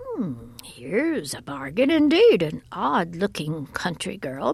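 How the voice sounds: In a put-on character voice, a woman speaks slowly at a fairly low pitch with very wide pitch swings, vocal fry, a slightly husky edge, and a slightly mellow tone.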